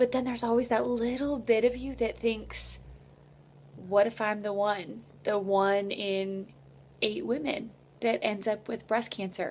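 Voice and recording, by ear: In a slightly mellow tone, a woman speaks slowly-ish at a fairly high pitch with fairly even intonation.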